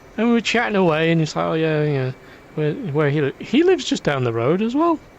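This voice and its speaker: A man with a Lancashire accent talks with very wide swings in pitch. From northern England, Preston, Lancashire. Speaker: gaming streamer. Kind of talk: casual chat. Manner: halting.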